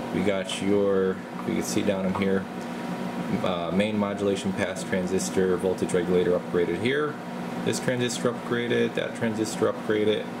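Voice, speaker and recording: A man's speech unfolds at a moderate speed against loud background noise. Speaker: radio repair technician. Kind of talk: tutorial. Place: workshop. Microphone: phone near.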